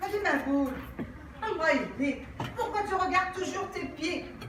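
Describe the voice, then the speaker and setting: Over noticeable background noise, a raised, projected voice comes at a moderate pace with ordinary pitch variation. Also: woman. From Morocco. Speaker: storyteller. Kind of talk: live storytelling performance. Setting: theatre stage.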